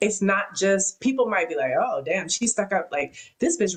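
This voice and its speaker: In an animated tone, a woman talks with an American accent. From US West Coast. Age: 30s. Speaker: podcast host and rapper. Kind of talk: interview conversation.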